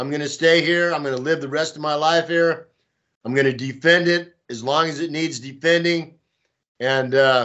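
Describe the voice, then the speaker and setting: Speaking at a fairly slow pace, a man with an American accent keeps a fairly high pitch and fairly even intonation. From Texas. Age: 60s. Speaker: pro-Russian volunteer and blogger. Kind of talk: interview. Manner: casual, hesitant with fillers.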